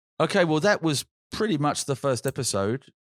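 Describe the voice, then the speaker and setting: A man with a British accent speaks at a moderate pace with very wide pitch swings, the very clean recording dry and close with no echo and a silent background. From Britain. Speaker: podcast co-host. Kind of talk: casual chat.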